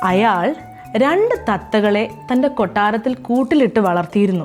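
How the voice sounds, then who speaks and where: A woman speaks with a fairly high pitch. Music plays in the background. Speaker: actor. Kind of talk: children's story reading.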